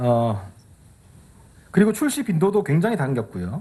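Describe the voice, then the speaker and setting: Fairly high male speech, pitch swinging very widely. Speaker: tech evangelist. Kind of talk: keynote presentation. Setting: stage with audience. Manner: fast.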